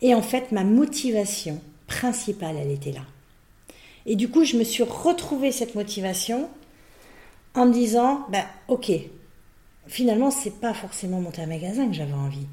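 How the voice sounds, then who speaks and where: A woman speaks at a moderate pace in a fairly high, somewhat breathy voice with a dark, mellow tone. Her pitch swings very widely, broken by long, frequent pauses. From Brittany, France. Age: 50s. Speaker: business owner and executive coach. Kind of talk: interview.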